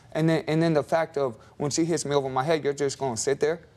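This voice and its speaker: This man talks at a fairly quick pace in a fairly high voice with ordinary pitch variation. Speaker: husband in court show divorce case. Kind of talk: courtroom testimony. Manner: loud.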